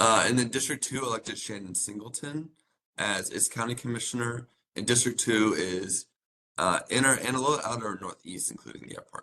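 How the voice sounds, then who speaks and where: With a bright, sharp tone, a man talks at a fairly quick pace and medium pitch, with ordinary pitch variation and big swings in loudness. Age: 30s. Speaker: county program staff presenting to committee. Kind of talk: public meeting presentation. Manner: fast.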